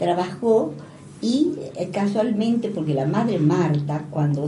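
With noticeable background noise and audible room echo, a woman talks with lively intonation. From Argentina. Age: 80s+. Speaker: retired school teacher and principal. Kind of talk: interview. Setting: radio studio.

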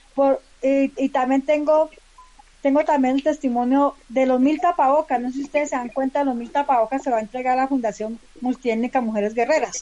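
Speaking at a fairly quick pace with a coastal Colombian accent, a woman uses a high pitch and fairly even intonation. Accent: Colombian coastal-sounding. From Colombia, Valle del Cauca (Palmira). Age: 50s. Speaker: community leader. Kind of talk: casual chat.

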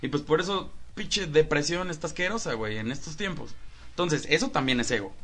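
A bright, sharp tone marks a man talking at a fairly quick clip. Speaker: podcast host. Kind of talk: casual chat. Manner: animated.

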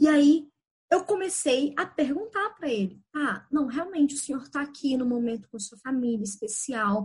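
A woman's voice moves in very wide pitch swings. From Belo Horizonte, Brazil. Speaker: life coach. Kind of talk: podcast interview.

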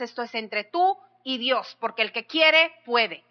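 A woman's animated, passionate delivery at a fairly slow pace, with ordinary pitch variation. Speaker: pastor. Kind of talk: sermon, preached with fervent exhortation. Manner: animated, passionate, rhetorical questions to the congregation.

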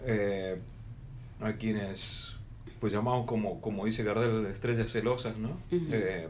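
In a room with audible echo, a man speaks at a fairly low pitch and a fairly slow pace, with fairly even intonation and very even loudness. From Argentina, Salta. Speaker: radio host. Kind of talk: casual chat.

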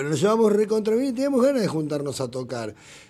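Very wide pitch swings from a man, with audible echo from the room. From Argentina, Buenos Aires southern suburbs. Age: 50s. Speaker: rock musician. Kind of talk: casual interview.

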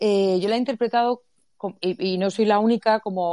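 Against a quiet background, a woman with a dark, mellow tone speaks with fairly even intonation in a dry, close sound with no echo. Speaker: economics professor and author. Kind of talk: casual chat.

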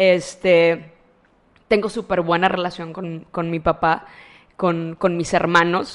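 At a very slow pace with long, frequent pauses, a woman speaks in a fairly low, monotone voice with flat intonation. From Matamoros, Tamaulipas, Mexico. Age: 30s. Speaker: psychologist and teacher. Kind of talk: casual interview chat. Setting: in person at her clinic.

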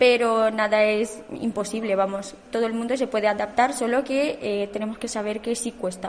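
At a moderate pace with hardly any pauses, a woman speaks at a fairly high pitch with fairly even intonation. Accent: Romanian. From Romania. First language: Romanian (speaking Spanish). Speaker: immigrant student. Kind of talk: radio interview.

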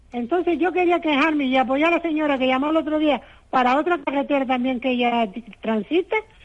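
This voice has ordinary pitch variation and very even loudness. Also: woman, high pitch for a woman, fairly quick pace. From Canary Islands (Telde, Gran Canaria). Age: old. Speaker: caller. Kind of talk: complaint call. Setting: phone call.

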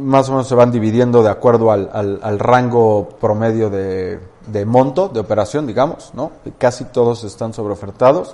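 A man with a plain, everyday voice talks at a moderate pace and medium pitch, with ordinary pitch variation. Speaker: real estate firm co-founder. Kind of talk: interview.

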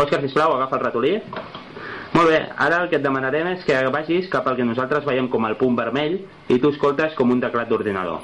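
A man speaks at a fairly high pitch with ordinary pitch variation. Noticeable background noise is present. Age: young. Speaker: app developer. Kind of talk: product demonstration.

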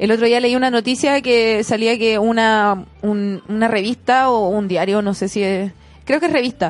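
A woman with a Chilean accent, fairly high in pitch, speaking at a moderate pace. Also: ordinary pitch variation, very even loudness. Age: 20s. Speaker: astrologer. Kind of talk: casual chat. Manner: animated.

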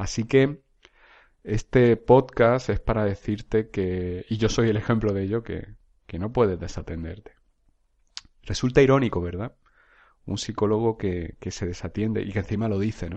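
Against a quiet background, a man with a fairly low pitch and a dark, mellow tone speaks with long, frequent pauses. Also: ordinary pitch variation, moderate pace, big swings in loudness. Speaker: psychologist and podcast host. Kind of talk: solo monologue, self-help talk. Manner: halting, repeats words.

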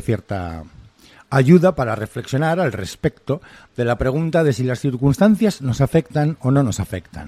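A man's medium-pitched voice, dark and mellow, with very wide pitch swings, a fairly slow pace and a dry, close sound with no echo. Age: 40s. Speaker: clinical psychologist and podcast host. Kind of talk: solo monologue. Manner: animated.

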